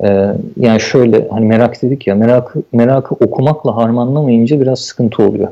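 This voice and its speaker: Here a man speaks in a dark, mellow tone. His pace is moderate and his pitch variation ordinary. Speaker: software developer. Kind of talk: casual interview.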